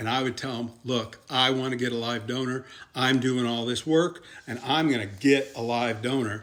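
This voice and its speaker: With a plain, everyday voice, a man talks at a moderate pace and medium pitch in fairly even intonation. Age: 60s. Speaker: kidney transplant patient sharing advice. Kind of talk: informal instructional talk. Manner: casual and conversational.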